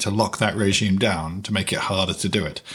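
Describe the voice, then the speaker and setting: With a British accent, a man speaks at a fairly quick pace. His pitch varies in an ordinary way. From Britain. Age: 50s. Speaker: podcast host, finance. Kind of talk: interview.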